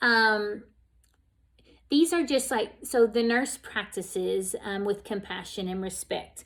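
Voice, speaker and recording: The recording is very clean, with a silent background. A woman speaks at a fairly slow pace in a fairly high voice with ordinary pitch variation, an unremarkable speaking voice. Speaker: nursing instructor. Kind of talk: lecture. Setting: recorded video lecture.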